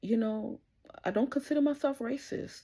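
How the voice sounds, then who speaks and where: Vocal fry runs through this woman's dark, mellow tone as she speaks at a fairly slow pace. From Trinidad. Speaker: podcaster and entrepreneur. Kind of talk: casual monologue podcast. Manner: animated.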